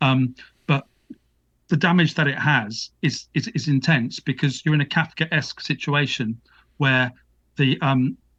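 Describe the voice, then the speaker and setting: A man speaks with a British accent at a medium pitch. His intonation is fairly even. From UK. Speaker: author and academic. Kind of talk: interview. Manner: halting.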